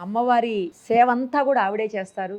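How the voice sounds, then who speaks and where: A woman with a fairly high pitch talks in a normal speaking voice. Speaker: interviewer. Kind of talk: interview questions.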